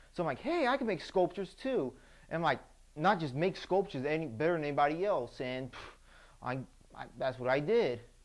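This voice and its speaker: A man with an American accent speaks at a fairly quick pace in a fairly high pitch for a man. His tone is animated and his intonation lively, broken by long, frequent pauses. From Texas. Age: 20s. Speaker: baker. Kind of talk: audition interview.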